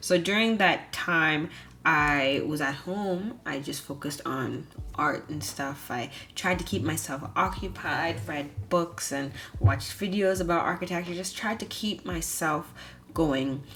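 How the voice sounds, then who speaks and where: A woman's very deep, low voice with a bright, sharp tone, vocal fry, lively intonation and audible room echo. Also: fairly slow pace. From Bahamas. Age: 20s. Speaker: vlogger, architecture student. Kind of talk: personal vlog narration.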